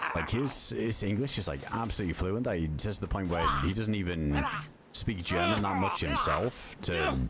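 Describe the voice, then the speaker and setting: Lively intonation rides over noticeable background noise and an audible room echo. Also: man. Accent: British. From UK. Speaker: gaming streamer. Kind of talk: casual chat. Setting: livestream. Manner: animated.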